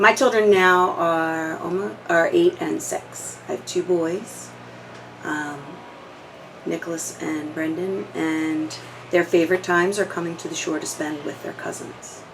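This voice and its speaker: A woman speaks fairly slowly in a fairly low voice with ordinary pitch variation. Noticeable background noise runs underneath. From New Jersey (Audubon). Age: 40s. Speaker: oral history interviewee. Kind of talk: casual reminiscing interview.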